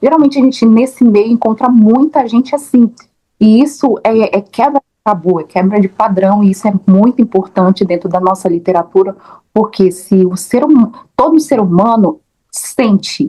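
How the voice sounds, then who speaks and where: This woman has a fairly high pitch and a dark, mellow, somewhat breathy tone. She talks at a moderate pace with ordinary pitch variation. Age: 30s. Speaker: interviewer, teacher and actress. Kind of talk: interview. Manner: halting, many repetitions.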